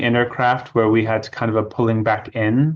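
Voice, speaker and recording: A man at a medium pitch and moderate pace against a quiet background. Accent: slight British. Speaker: author and witchcraft initiate. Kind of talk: interview.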